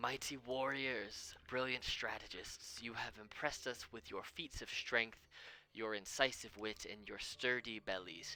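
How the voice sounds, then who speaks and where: Putting on a booming character voice, a man talks at a medium pitch and a moderate pace. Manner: grand, proclaiming.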